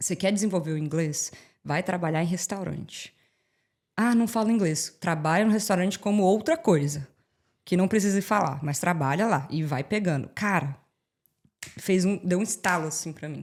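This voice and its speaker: With an animated tone and fairly low pitch, a woman speaks at a moderate pace with ordinary pitch variation and long, frequent pauses on a very clean recording with a silent background. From Brazil, Brasília. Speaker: immigrant and social media creator. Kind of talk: podcast interview.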